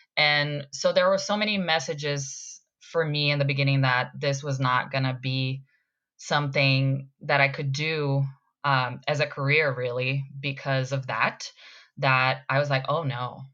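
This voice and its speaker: A bright, sharp tone with a slight Brazilian accent, fairly even intonation and a fairly slow pace, against a quiet background. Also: woman, very deep, low pitch for a woman. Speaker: actor. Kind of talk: casual chat.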